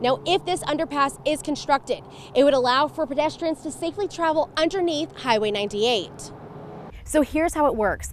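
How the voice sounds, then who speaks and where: Noticeable background noise sits behind a woman who talks fairly quickly in a high pitch with lively intonation. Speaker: TV news reporter. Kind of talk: TV news report.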